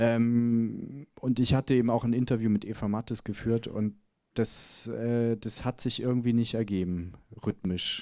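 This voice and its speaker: This man has an ordinary speaking voice at a medium pitch, with fairly even intonation and a fairly slow pace. The recording is very clean, with a silent background. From Bavaria, Germany (Chiemgau area). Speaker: documentary filmmaker. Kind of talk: Q&A after film screening. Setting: cinema stage with audience.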